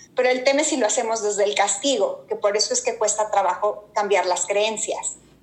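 At a fairly quick pace, a woman with a fairly high pitch speaks with ordinary pitch variation and very even loudness over noticeable background noise. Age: 40s. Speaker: executive coach. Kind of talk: casual interview chat.

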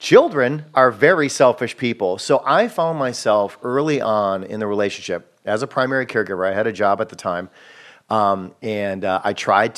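A man with an unremarkable speaking voice, fairly low in pitch, at a fairly quick pace. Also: quiet background. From Wisconsin. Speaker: filmmaker and comedian. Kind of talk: casual interview chat. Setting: home garage studio.

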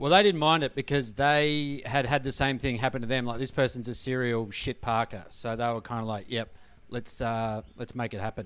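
Speaking with an Australian accent, a man uses a medium pitch and ordinary pitch variation at a moderate pace with hardly any pauses. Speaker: comedian. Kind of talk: casual comedy panel chat.

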